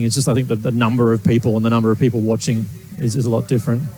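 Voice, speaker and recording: Over music in the background, a man with an Australian accent and medium pitch speaks at a very fast pace with ordinary pitch variation. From Australia, Gold Coast. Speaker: racing driver. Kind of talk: interview. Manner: hesitant, repeats words.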